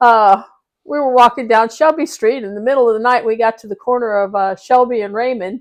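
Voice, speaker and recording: With a Midwestern American accent, a woman speaks fairly quickly at a fairly high pitch, showing ordinary pitch variation. Her loudness swings widely over a quiet background. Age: 60s. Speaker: interviewee, family member. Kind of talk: casual family interview, reminiscing. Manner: halting, with fillers.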